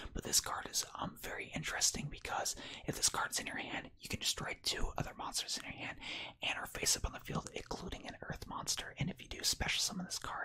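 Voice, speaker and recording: A man whispers at a fairly quick pace. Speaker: ASMR and card game content creator. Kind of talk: casual ASMR pack opening, talking to camera. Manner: casual, conversational, upbeat.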